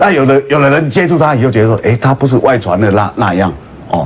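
Light background noise sits behind a man speaking. His intonation is lively. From Taiwan. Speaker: political talk show host. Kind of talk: political talk show discussion. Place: studio.

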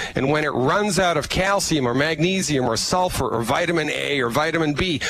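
A man's fairly high voice, hardly any pauses, noticeable background noise and a dry sound with no echo. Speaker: holistic physician promoting supplements. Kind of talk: sales pitch. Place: office. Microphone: headset.

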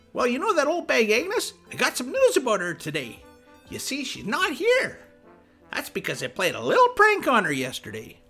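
The delivery keeps a moderate pace. Soft music is faintly present underneath. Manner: smug, rambling, gleeful.

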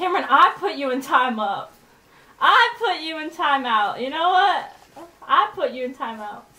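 Over noticeable background noise, a high-pitched woman projects her voice, speaking fairly slowly with very wide pitch swings. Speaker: gaming live streamer. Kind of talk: live gameplay commentary. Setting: online live stream with game voice chat. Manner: animated, excitable.

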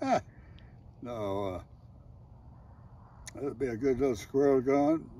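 A man's medium-pitched voice, dark and mellow in tone, with ordinary pitch variation and long, frequent pauses. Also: fairly slow pace, dry sound with no echo. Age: 80s+. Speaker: military veteran. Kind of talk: casual reminiscing while target shooting. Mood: jovial, laughing. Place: open country.

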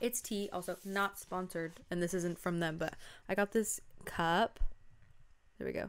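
A woman talks with fairly even intonation and long, frequent pauses. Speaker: video podcaster. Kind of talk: casual solo chat reviewing a K-drama. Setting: home recording on camera. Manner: fast talker; frazzled, chatty. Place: home room. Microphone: studio mic.

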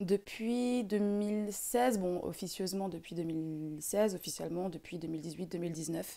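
Against a quiet background, a woman with a dark, mellow tone speaks at a very slow pace with hardly any pauses and ordinary pitch variation. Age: 20s. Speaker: singer; podcast guest. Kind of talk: casual chat; interview answer. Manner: hesitant, many fillers. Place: home room. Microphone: studio mic.

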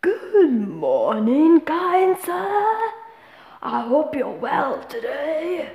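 In a put-on character voice, a woman speaks at a very slow pace with an extremely high pitch. Her pitch swings very widely. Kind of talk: polite, courteous. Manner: chipper, cheerful.

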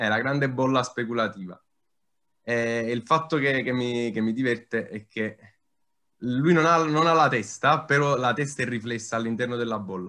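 A man's bright, sharp tone broken by long, frequent pauses. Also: ordinary pitch variation, moderate pace, quiet background. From Naples, Italy; Italy. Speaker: digital artist; talk host or guest commenting on art. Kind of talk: informal panel discussion. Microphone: video call.

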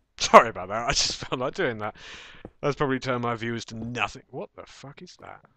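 A man with an English accent at a very fast pace, bright and sharp in tone with ordinary pitch variation and big swings in loudness, in a dry sound with no echo and a quiet background. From England. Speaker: gaming video creator. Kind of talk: gameplay commentary. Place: home room.

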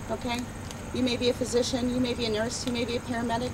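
Very fast, passionate delivery over noticeable background noise. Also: woman. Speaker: nurse and advocate, rally speaker. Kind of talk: rally speech. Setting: outdoor rally with audience. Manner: animated; emphatic, passionate, scolding. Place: open country. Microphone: camera far.

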